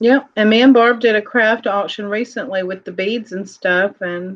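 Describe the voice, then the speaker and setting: A normal speaking voice from a woman, medium in pitch, at a moderate pace with fairly even intonation. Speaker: co-host auctioneer. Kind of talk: casual live-stream chat, auction calling.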